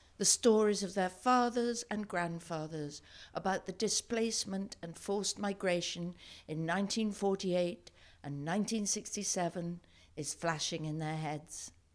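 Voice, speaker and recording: A normal speaking voice from a woman at medium pitch, with ordinary pitch variation and a moderate pace. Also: very clean recording, silent background. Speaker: actor. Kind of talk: dramatic reading of diary. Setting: live event. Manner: sombre.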